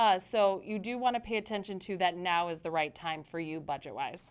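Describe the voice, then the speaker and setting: On a very clean recording with a silent background, a woman with an unremarkable speaking voice talks at a moderate pace with lively intonation. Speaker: mortgage lender, live Q&A host. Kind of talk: live stream Q&A.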